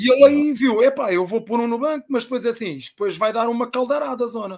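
A man speaks very fast with a European Portuguese accent and an animated tone. His pitch varies in an ordinary way over a quiet background. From Portugal. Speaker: football fan; guest. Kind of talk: casual chat. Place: home room.

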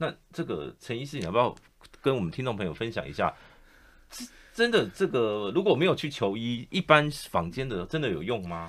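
A man with a Taiwanese accent and vocal fry speaks at a moderate pace, his pitch swinging very widely. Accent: Taiwanese Mandarin. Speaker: radio host. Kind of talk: radio interview. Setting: studio. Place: studio. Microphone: studio mic.

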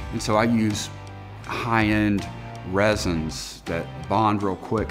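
Over clear background music, a man speaks in a very deep, low pitch with ordinary pitch variation. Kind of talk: interview answer. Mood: reflective, warm. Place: workshop. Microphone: lapel.

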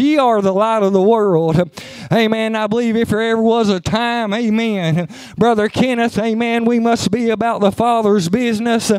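A man's high-pitched voice with an Appalachian accent, moderate pace, very even loudness, fairly even intonation and noticeable background noise. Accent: Appalachian Kentucky. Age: 40s. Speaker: preacher. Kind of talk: sermon. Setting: church.

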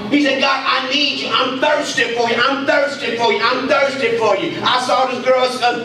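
Amid light background noise and audible room echo, a man speaks in a raised, projected voice at a moderate pace with fairly even intonation. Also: hardly any pauses. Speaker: preacher. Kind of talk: sermon. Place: church. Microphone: handheld.

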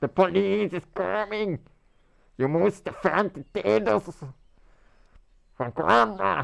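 In a put-on character voice, a man speaks high in pitch at a very slow pace. Long, frequent pauses break up his speech. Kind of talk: comic overacting. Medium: machinima. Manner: urgent, rambling, dramatic.

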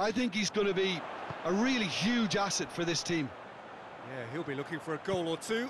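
Crowd noise runs behind a man who speaks fairly quickly in a high voice, with lively intonation and long, frequent pauses. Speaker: football co-commentator. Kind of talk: live football match co-commentary, analytical expert breakdown. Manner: analytical and measured, with small hesitations and repeated words.

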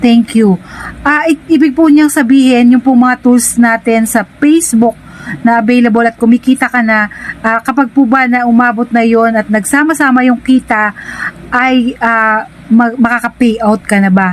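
A woman's high-pitched voice at a fairly slow pace, with very even loudness and ordinary pitch variation. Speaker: content creator. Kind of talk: tutorial.

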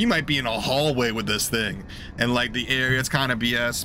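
Music plays in the background as a man speaks with fairly even intonation. The sound is dry, with no echo. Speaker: game streamer. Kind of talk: casual commentary. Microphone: headset.

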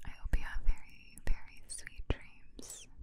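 This woman talks at a fairly slow pace. She is whispering. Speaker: ASMR creator. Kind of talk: soft whispered ASMR talk. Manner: tender close whisper. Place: home room. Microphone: studio mic.

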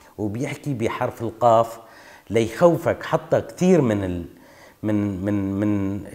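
A man with a Kurdish accent speaks at a very slow pace in a dark, mellow tone. His intonation is lively, and the background is quiet. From northeastern Syria, Qamishli area (Kurdish village); Syria. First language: Kurdish (speaking Arabic). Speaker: oral history interviewee; interviewee. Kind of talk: testimony. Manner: halting. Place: home room.

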